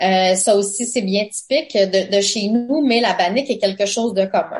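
A woman's medium-pitched voice comes through with noticeable noise behind it. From Quebec, Abenaki nation. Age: 40s. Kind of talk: radio interview. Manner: hesitant, many fillers.

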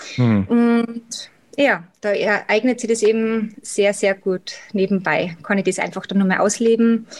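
A woman with an Austrian accent and a fairly high pitch speaks at a very slow pace and very even loudness. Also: ordinary pitch variation. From Austria, Salzburg. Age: 30s. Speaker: cosmetics sales rep and office worker. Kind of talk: interview.

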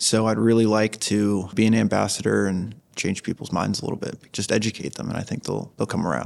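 Fairly quick male speech with hardly any pauses, against noticeable background noise. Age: 20s. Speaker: aquaculture graduate student. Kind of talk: casual interview. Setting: trade show.

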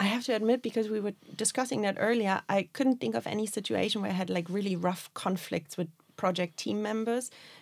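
The voice has vocal fry and ordinary pitch variation, moving at a fairly quick pace with hardly any pauses. The recording is very clean, the background silent. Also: woman, medium pitch for a woman. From Germany, Berlin. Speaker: project manager. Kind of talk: casual chat.

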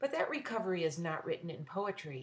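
A somewhat breathy woman's voice at a medium pitch, with lively intonation. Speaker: podcaster and poet. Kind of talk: poetry reading, intimate and personal. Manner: warm, tender, measured pace, lyrical.

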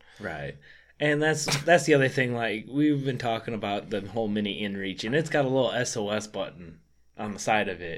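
A man with a plain, everyday voice and an American accent, medium in pitch, with lively intonation and a fairly quick pace. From Michigan. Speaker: bowhunter. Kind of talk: casual chat. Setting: studio.

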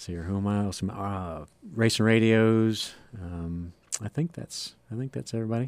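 With an American accent and a normal speaking voice, a man talks at a moderate pace in a fairly low pitch with ordinary pitch variation. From northern Ohio, US. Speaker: stock car racing driver. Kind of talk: radio interview. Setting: radio studio.

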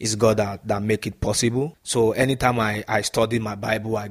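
This man has a medium-pitched voice with a Nigerian accent. He keeps his intonation fairly even. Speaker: professional footballer. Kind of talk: interview.

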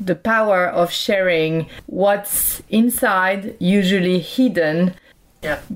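Very slow speech over noticeable background noise, with ordinary pitch variation. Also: woman. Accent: French. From France. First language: French. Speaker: podcast host. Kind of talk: interview. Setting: remote call.

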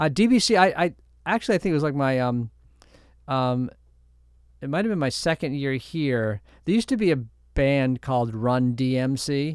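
Over a silent background in a very clean recording, a man with a fairly high voice speaks at a moderate pace with lively intonation and long, frequent pauses. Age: 60s. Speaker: university president. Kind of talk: interview.

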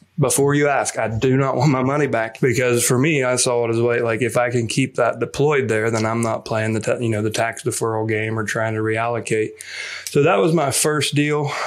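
A man's voice at very even loudness, with fairly even intonation and noticeable background noise. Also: medium pitch for a man. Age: 40s. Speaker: real estate investor and company CEO. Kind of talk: interview.

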